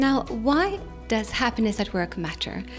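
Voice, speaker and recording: Music sounds faintly in the background. Over it, a woman talks. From Sweden. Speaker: workplace happiness consultant and speaker. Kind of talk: event promo talk to camera. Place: studio. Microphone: handheld.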